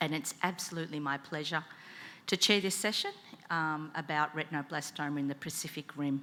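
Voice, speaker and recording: With a bright, sharp tone, a woman talks with ordinary pitch variation. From Australia, Melbourne. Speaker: conference session chair, eye specialist. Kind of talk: conference moderation.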